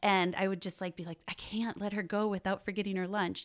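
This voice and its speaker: Speaking with an American accent, a woman has a normal speaking voice at a fairly low pitch and a fairly quick pace. The recording is very clean, with a silent background. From Wisconsin, US Midwest. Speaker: parenting educator. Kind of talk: podcast interview. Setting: studio.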